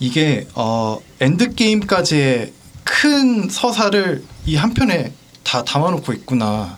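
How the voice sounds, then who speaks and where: Against noticeable background noise, a man with a fairly high pitch speaks with very wide pitch swings. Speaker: podcast guest. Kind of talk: casual chat.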